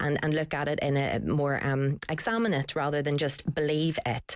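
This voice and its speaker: A woman is speaking at a moderate pace. Her pitch is very deep and low. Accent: Northern Irish. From Northern Ireland, Belfast. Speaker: writer and broadcaster. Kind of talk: radio discussion.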